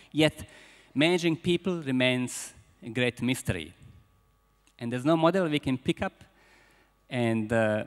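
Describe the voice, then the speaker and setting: A man with a Croatian accent talks at a moderate pace, with long, frequent pauses, medium pitch and ordinary pitch variation. The sound is dry and close with no echo, on a very clean recording with a silent background. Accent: Croatian accent, persistent. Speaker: business school founder and speaker. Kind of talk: conference keynote speech. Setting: conference hall with audience. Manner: halting, with repetitions.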